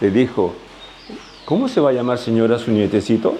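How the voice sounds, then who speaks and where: A man talks in a medium-pitched voice. Noticeable background noise comes through. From Peru, Ica. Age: 80s+. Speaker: retired doctor and farmer. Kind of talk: interview.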